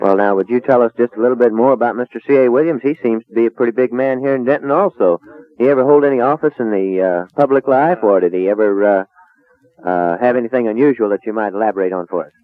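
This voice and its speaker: Over music in the background, a man talks at a very fast pace with medium pitch and ordinary pitch variation. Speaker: radio host. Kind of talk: radio interview questions. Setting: old radio recording.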